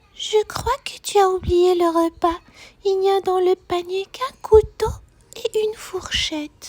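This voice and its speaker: Putting on a character voice, a woman speaks at an extremely high pitch and a fairly slow pace. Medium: read story.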